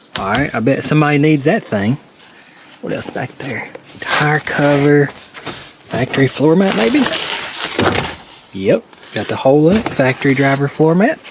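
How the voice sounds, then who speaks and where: Amid noticeable background noise, a man speaks with lively intonation and long, frequent pauses. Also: fairly high pitch for a man, moderate pace. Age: middle-aged. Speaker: Jeep collector and YouTuber. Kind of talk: casual walkthrough narration.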